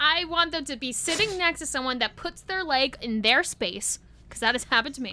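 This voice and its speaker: Raising and projecting her voice, a high-pitched woman talks at a fairly quick pace with lively intonation and big swings in loudness. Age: 20s. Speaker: podcast co-host, student and aspiring performer. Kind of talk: casual chat.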